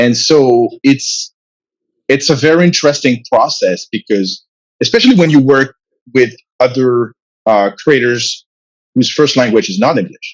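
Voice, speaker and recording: This man speaks at a fairly slow pace with a French accent and a medium pitch. He leaves long, frequent pauses. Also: ordinary pitch variation. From France. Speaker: comic book writer and publisher. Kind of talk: interview. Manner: halting, many fillers and repetitions.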